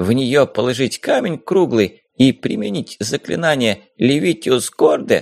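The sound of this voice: The reading voice is unforced, and the background is quiet.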